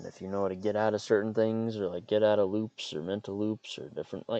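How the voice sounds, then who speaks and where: A man talks at a very fast pace in a fairly low pitch with a dark, mellow tone. The sound is dry and close, with no echo. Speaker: podcaster and writer. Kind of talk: casual monologue. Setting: in a parked car. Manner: monotone; halting, many fillers and repeats.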